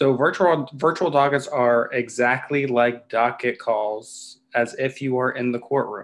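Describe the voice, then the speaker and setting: A man talks in an American accent at a fairly slow pace. His intonation stays fairly even. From Texas. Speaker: associate judge. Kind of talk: informational video update to the public. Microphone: video call.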